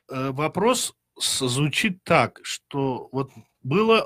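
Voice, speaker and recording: Quiet background behind a man speaking. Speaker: radio host. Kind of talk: radio interview. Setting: studio. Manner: formal. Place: studio. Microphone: studio mic.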